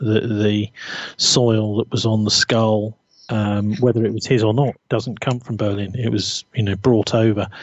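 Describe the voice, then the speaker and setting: A fairly low male voice in a British accent, fairly slow, with monotone, flat intonation. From Britain. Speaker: journalist. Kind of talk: interview conversation.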